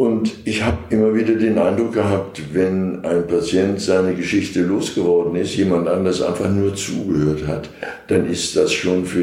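Over noticeable background noise and audible room echo, a man talks at a moderate pace in a very deep, low voice. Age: 70s. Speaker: retired doctor, hospital volunteer. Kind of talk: interview.

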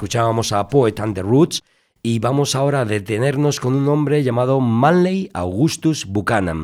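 In a very clean recording with a silent background, a man with an ordinary speaking voice talks at a fairly slow pace, medium in pitch with lively intonation. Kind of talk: radio dj patter: warm, spoken intro links between reggae tracks.

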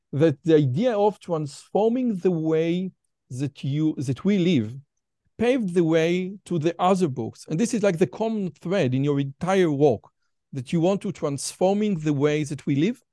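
With an Israeli accent, a man speaks fairly slowly in a high, dark, mellow voice with lively intonation, recorded dry and close with no echo against a quiet background. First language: Hebrew. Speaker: podcast host. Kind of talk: interview.

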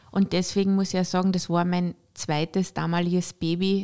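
Woman's dark, mellow tone at medium pitch, fairly quick pace, monotone and flat intonation, very clean recording with a silent background. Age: 50s. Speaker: entrepreneur and shop owner. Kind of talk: personal testimony in a podcast interview.

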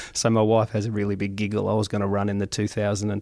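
Talking at a very fast pace with an Australian accent, a man with a fairly low pitch comes through on a very clean recording with a silent background. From Australia, Goulburn Valley region of Victoria. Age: 50s. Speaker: mayor. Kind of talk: interview.

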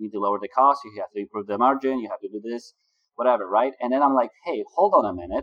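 The speaker has a Polish accent and a very fast pace. The sound is dry and close, with no echo. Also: man. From Poland. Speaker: business consultant for agency owners. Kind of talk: interview.

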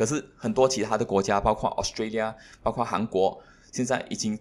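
Pitched in the medium range, the man talks with ordinary variation in his pitch. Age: 30s. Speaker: entrepreneur. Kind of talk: interview.

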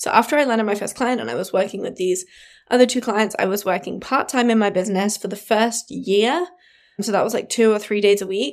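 With a southern English accent, the speaker talks at a fairly quick pace and ordinary pitch variation on a very clean recording with a silent background. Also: woman, fairly high pitch for a woman. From England, Devon countryside. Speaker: brand designer and podcast host. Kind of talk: casual monologue.

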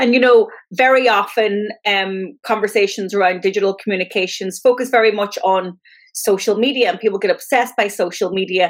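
A woman with an Ulster accent speaks at medium pitch and a fairly quick pace. Her intonation stays fairly even. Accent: Irish (Ulster). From Donegal, Ireland. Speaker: podcast host and marketing consultant. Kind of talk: podcast monologue and interview.

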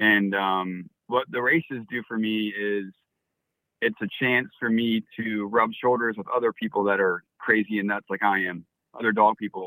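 A man with a plain, everyday voice speaks with an American accent at a fairly low pitch, a moderate pace and fairly even intonation. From Florida. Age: 30s. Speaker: dog musher. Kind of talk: interview. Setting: phone call. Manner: frequent fillers (um, uh).

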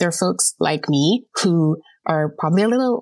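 With a dry, close sound with no echo, a woman speaks fairly slowly with lively intonation. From Jamaica. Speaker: volunteer writer and editor. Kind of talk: casual chat. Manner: animated.

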